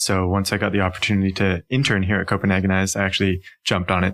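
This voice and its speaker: A fairly low-pitched man with a Canadian accent at a very fast pace, in a very clean recording with a silent background. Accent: Canadian, noticeable. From Canada, Ontario near Toronto. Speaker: urban planning consultant. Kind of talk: podcast interview.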